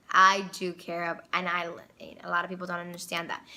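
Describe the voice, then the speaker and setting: A woman speaks in a confident tone at medium pitch, her voice bright and sharp. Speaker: vlogger. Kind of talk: casual monologue.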